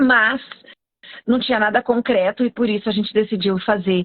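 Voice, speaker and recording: Her voice, a woman's, has a fairly high pitch. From Brazilian countryside. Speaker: veterinarian and postgraduate teacher. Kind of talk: live stream talk, educational. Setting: live stream.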